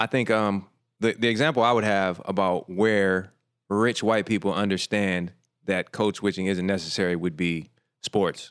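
A man with an American accent and a plain, everyday voice speaks at a moderate pace and a fairly low pitch. His intonation stays fairly even, and his loudness is very even. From Washington DC area. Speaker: guest. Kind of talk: casual chat.

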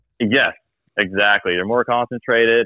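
A man with an American accent and an unremarkable speaking voice talks at a fairly quick pace and a fairly low pitch. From coastal South Carolina (North Myrtle Beach area). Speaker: fishing guide. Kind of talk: casual chat.

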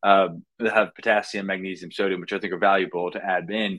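An energetic man speaks very fast with an American accent and a fairly low pitch. The background is quiet. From North Carolina. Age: 20s. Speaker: fitness trainer. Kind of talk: casual chat.

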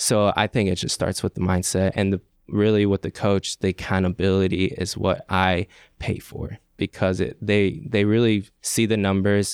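Here is a normal speaking voice at a moderate pace with fairly even intonation. The sound is dry and close with no echo, on a very clean recording with a silent background. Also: man, fairly low pitch for a man. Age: 30s. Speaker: real estate agent. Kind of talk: casual interview chat.

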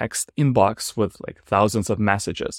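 In a very clean recording with a silent background and a dry, close sound with no echo, a man with an Eastern European accent speaks at a fairly low pitch. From Ukraine. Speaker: podcast host and software developer. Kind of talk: solo podcast intro, casual monologue. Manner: casual, with fillers and self-corrections.

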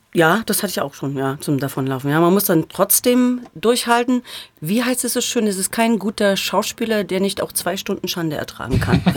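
A woman speaks at a medium pitch and moderate pace with lively intonation. Noticeable background noise can be heard. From Thuringia, Erfurt. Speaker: actress and voice actress. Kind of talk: casual chat. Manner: clear articulation.

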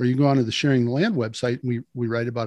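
The speaker has an American accent, a dark, mellow tone and a very fast pace, in a dry, close sound with no echo. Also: man. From US Midwest, southwest Wisconsin. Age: 60s. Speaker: farmer and conservationist. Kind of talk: podcast interview. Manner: halting, many fillers.

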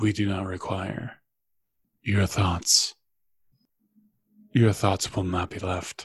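In a put-on character voice, a man talks very slowly with long, frequent pauses, raspy and fairly low, his intonation monotone and flat. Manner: menacing, cold.

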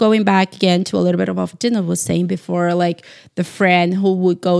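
A woman with a Brazilian accent and fairly low pitch speaks on a very clean recording with a silent background. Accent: Brazilian Portuguese accent, noticeable. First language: Portuguese. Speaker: dietitian. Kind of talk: casual chat.

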